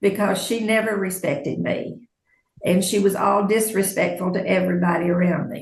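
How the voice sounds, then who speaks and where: Vocal fry runs through speech with ordinary pitch variation. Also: woman. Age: 70s. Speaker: court witness. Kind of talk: courtroom testimony.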